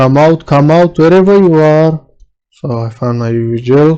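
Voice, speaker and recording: At a fairly slow pace, the speaker talks with a non-native accent. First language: not English (own native language, also learning German). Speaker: electronics repair technician. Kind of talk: tutorial. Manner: halting, many filler sounds.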